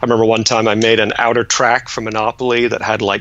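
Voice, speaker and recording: A man talks at a very fast pace and a medium pitch. His intonation is monotone and flat, with noticeable background noise. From Ontario, Canada; born in England. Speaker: board game designer. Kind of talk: casual interview.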